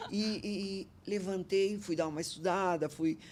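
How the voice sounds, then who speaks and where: A woman's dark, mellow tone comes through as she talks at a fairly slow pace. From Brazil, northern Paraná interior. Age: 70s. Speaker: entrepreneur. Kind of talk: podcast interview. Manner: animated.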